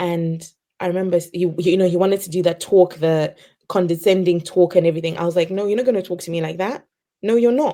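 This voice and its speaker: Quiet and fairly quick, a woman talks with a fairly low pitch, fairly even intonation and a dark, mellow tone. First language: not English. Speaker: early career teacher. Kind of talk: interview storytelling. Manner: naturally quiet.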